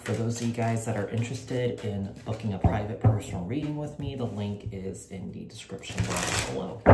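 A man at a fairly quick pace, with ordinary pitch variation and music in the background. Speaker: tarot reader. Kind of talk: casual vlog chat. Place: home room. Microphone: phone near.

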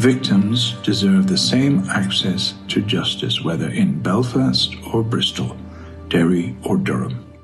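Very slow speech from a man at a fairly low pitch, with very wide pitch swings and clear music in the background. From Belfast, Northern Ireland. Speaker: actor. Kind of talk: open letter reading. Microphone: phone near.

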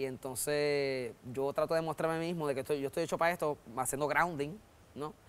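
A man speaks at a fairly quick pace in a Puerto Rican accent. His pitch is fairly high and his intonation fairly even. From Puerto Rico. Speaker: comedian. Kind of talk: interview. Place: studio. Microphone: lapel.

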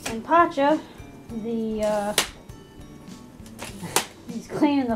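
Over clear background music, a woman speaks with ordinary pitch variation. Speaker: vlogger. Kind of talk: casual vlog chat. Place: home room. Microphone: phone near.

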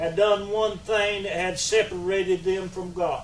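Speaking at a fairly slow pace with fairly even intonation, a man with a high-pitched voice is heard over audible room echo.

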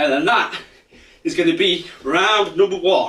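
A man's raised, projected voice at a very slow pace, with audible room echo and light background noise. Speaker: fitness coach. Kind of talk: workout instruction. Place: home room. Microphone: camera far.

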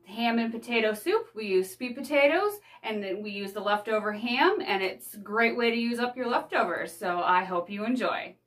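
Against a quiet background, a woman speaks at a moderate pace with hardly any pauses. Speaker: home cooking vlogger. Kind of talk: casual vlog chat. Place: home room. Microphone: phone near.

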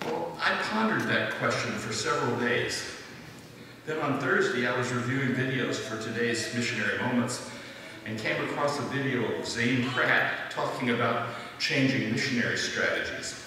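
Amid noticeable background noise and strong room echo, a man talks at a moderate pace with fairly even intonation. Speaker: presenter. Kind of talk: church announcement talk. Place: church.

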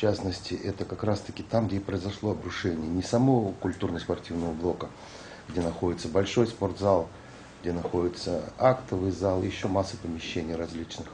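A man speaks in a very deep, low pitch at a moderate pace. His intonation is fairly even, with light background noise. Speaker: organization manager interviewee. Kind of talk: interview comment. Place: office.

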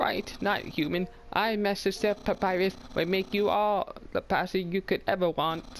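A loud, put-on character voice at middle pitch goes along at a moderate pace over clear background noise. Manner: loud, goofy, boastful.

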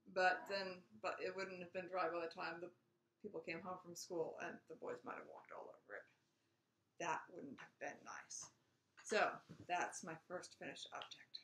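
A woman speaks with long, frequent pauses and big swings in loudness. Light background noise and audible room echo come through. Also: moderate pace. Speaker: knitting podcast host. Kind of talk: casual vlog chat. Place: home room. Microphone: webcam.

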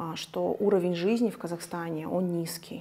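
A woman speaks in a dark, mellow tone. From Kazakhstan. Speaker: hair colorist and coach. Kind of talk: interview.

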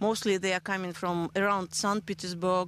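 A woman with a Russian accent is recorded dry and without echo, over light background noise. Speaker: race founder. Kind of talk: interview. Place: open country. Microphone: handheld.

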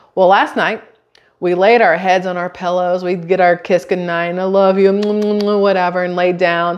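A woman's monotone, flat intonation against a quiet background. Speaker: vlogger. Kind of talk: casual vlog chat. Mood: amused storytelling. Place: kitchen.

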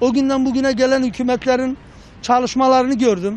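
The man's pitch is high and his pace moderate. The sound is dry, with no echo. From Adıyaman, eastern Turkey. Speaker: passer-by. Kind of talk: street interview. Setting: outdoors. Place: street. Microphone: handheld.

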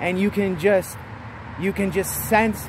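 Against noticeable background noise, a man speaks at a fairly slow pace in a dry sound with no echo. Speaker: vlogger. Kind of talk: casual vlog chat. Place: street. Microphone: phone near.

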